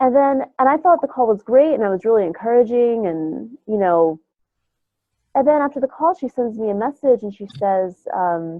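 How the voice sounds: With a fairly high pitch and a nasal sound, a woman speaks at a moderate pace with lively intonation in a dry, close sound with no echo.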